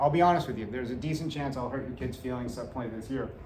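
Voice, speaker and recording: Fairly high male pitch with ordinary variation, set against noticeable background noise and audible room echo. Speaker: middle school teacher. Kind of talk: back to school night presentation to parents. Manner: casual, uses many filler uhs.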